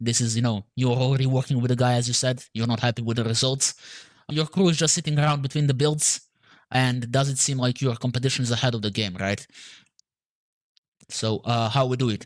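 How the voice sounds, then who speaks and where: Here a man with a Serbian accent speaks at a fairly quick pace and medium pitch, with fairly even intonation, very even loudness, and long, frequent pauses. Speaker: marketing agency owner. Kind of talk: sales call. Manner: halting, many fillers.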